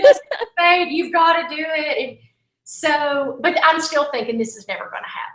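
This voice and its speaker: Extremely high-pitched, a woman's voice swings very widely in pitch and shows big swings in loudness. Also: moderate pace. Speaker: country singer-songwriter. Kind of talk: interview, casual storytelling. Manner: animated.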